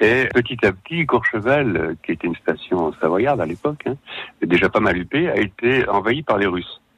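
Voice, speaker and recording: At a moderate pace, a man speaks in a medium pitch with very wide pitch swings. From Savoie, France. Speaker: crime novelist. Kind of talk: radio interview.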